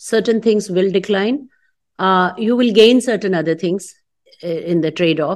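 This woman has an unremarkable speaking voice at a medium pitch, with ordinary pitch variation, a moderate pace and a quiet background. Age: 50s. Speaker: fintech entrepreneur. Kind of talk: casual interview.

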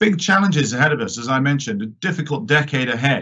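Here is a man with an English accent and lively intonation. His pitch is fairly high, his tone bright and sharp. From born in New York, British politician. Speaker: member of parliament. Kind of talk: panel discussion. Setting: online live-streamed event.

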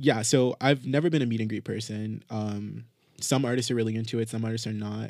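This man talks at a medium pitch and moderate pace in a plain, everyday voice, his intonation fairly even. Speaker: podcast host. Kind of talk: casual chat. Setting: studio.

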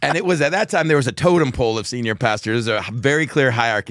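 A man with an American accent races along at a very fast pace with hardly any pauses, medium in pitch and lively in intonation. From Texas. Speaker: megachurch pastor. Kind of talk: casual interview chat.

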